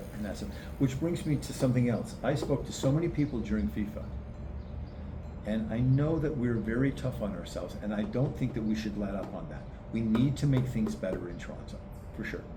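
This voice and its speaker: Amid noticeable background noise and audible room echo, a man talks at a fairly quick pace at medium pitch with very wide pitch swings. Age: 60s. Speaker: mayoral candidate. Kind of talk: casual interview chat. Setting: outdoors in a park.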